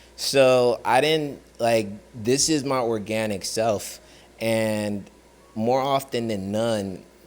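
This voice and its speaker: A man with fairly even intonation and medium pitch speaks with audible room echo around him. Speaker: actor and former sailor. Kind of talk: casual vlog monologue. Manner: halting, filler-heavy.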